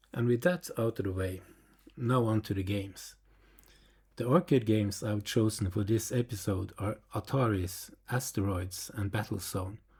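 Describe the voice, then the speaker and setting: Fairly low in pitch and somewhat breathy, a man speaks at a moderate pace with ordinary pitch variation on a very clean recording with a silent background. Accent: non-native. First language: not English. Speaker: retro computer YouTuber. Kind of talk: video narration.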